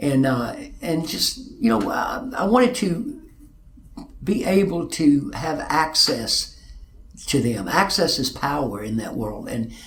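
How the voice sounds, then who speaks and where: A man with an Arkansas accent, plus audible room echo. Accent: Arkansas Southern. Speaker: music manager and concert promoter. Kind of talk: interview testimony. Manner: halting, repeats words.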